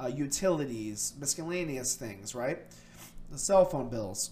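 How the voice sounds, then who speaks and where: Here a man speaks at medium pitch and a moderate pace. It is an ordinary speaking voice with ordinary pitch variation. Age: 30s. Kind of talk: casual monologue. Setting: at a computer on camera. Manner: many filler words.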